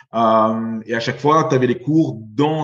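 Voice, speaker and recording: A man talks in an unremarkable speaking voice. His pitch is medium, with ordinary variation. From Belgium. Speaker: venture capital investor. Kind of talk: interview.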